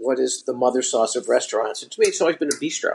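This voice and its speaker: This is a man speaking with a New York accent. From Brooklyn, New York. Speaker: restaurateur and author. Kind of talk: interview conversation.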